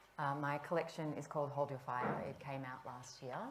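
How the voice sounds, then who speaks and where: A woman with an Australian accent speaks at a moderate pace. Her pitch is very deep and low, and audible room echo surrounds her voice. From Australia, Melbourne. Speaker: author. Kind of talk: panel discussion.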